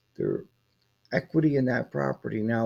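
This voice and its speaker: Here a man talks at a moderate pace and medium pitch. His tone is dark and mellow. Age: 60s. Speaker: farmer. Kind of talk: casual talk to camera.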